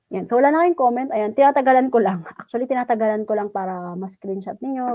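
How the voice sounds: Ordinary pitch variation in a fairly high female voice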